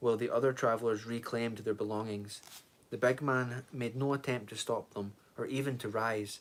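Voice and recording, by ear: Someone reads the text aloud in a natural voice.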